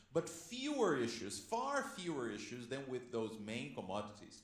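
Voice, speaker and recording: With audible room echo, a man of medium pitch speaks at a moderate pace using lively intonation. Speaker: panelist. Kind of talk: panel discussion. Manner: loud; animated.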